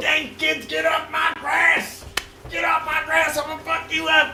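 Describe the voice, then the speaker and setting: Someone does a put-on character voice at a moderate pace with a slight echo. Loud background noise fills the recording. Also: man, extremely high pitch for a man. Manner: gruff, angry.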